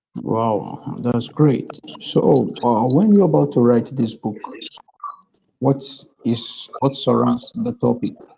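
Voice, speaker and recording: A man talks very slowly, with long pauses that come often. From Nigeria. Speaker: podcast host, evangelist. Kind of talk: interview.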